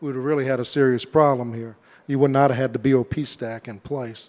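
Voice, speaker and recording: A man speaks with a Southern Louisiana accent at a medium pitch. His intonation stays fairly even. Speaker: government safety engineer. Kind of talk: conference presentation. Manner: hesitant, many fillers.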